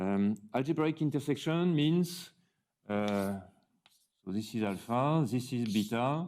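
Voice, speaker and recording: A man with a French accent and lively intonation at a fairly slow pace, with long, frequent pauses. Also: medium pitch for a man. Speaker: mathematician. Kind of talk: lecture. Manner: halting, with many fillers.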